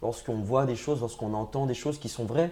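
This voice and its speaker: This man has a dark, mellow tone at a medium pitch, with ordinary pitch variation. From France, Essonne (Grigny, Paris suburbs). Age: 30s. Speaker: political candidate. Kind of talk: interview. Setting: studio set. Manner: hesitant, many fillers and repetitions.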